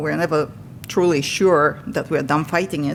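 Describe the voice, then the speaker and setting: A woman speaks in a Bulgarian accent. Her pace is moderate. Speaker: patient speaker. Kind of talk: testimony.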